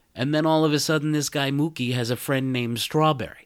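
This man speaks with a New York accent. The recording is very clean, with a silent background. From New York City (Brooklyn). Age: 40s. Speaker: podcast host. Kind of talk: casual monologue.

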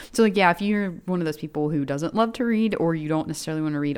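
With an American accent, this woman's voice sits at a very deep, low pitch. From Chattanooga, Tennessee, US South. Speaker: podcast co-host. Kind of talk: casual chat.

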